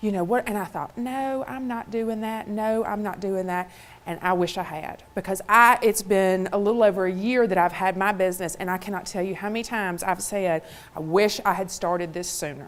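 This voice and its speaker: Speaking at a fairly quick pace, a woman talks with a Mississippi accent. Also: medium pitch for a woman, ordinary pitch variation. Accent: Southern (Mississippi). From US South, Mississippi. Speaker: motivational speaker. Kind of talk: keynote talk.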